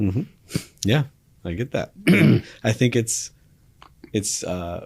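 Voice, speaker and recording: Speaking at a very slow pace, a man uses a medium pitch with lively intonation. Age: 30s. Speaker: podcast host. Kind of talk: interview conversation.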